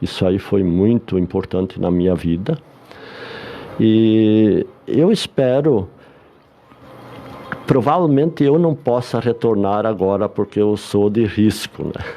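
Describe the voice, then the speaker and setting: Over noticeable background noise, a man speaks at a very slow pace with a fairly low pitch, lively intonation, and long, frequent pauses. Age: 70s. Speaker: retired bank employee and psychology student. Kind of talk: radio interview.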